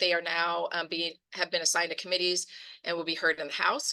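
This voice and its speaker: This woman talks at a very fast pace. Her tone is bright and sharp. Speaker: nonprofit disaster relief leader. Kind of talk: presentation to community partners.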